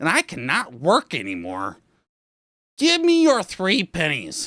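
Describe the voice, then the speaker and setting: Using a put-on character voice, a man speaks at a fairly slow pace on a very clean recording with a silent background. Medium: read story.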